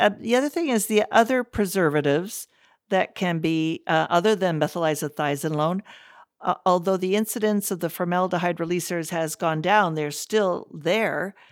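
A woman's normal speaking voice on a very clean recording with a silent background. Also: fairly low pitch for a woman, ordinary pitch variation, moderate pace. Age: 60s. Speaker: dermatologist, professor. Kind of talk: interview.

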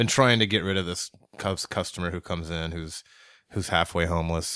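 Against a silent background in a very clean recording, a man speaks with a bright, sharp tone. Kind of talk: casual chat.

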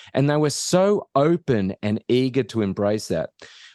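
A man speaks with an Australian accent, his pitch swinging very widely. The sound is dry and close with no echo, over a quiet background. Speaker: professor of innovation and author. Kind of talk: interview conversation.

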